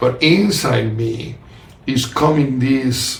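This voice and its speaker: Over noticeable background noise and audible room echo, a man with a strong non-native accent speaks at medium pitch with ordinary pitch variation. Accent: heavy foreign. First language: not English. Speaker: podcast host and author. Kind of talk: casual conversation. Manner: halting.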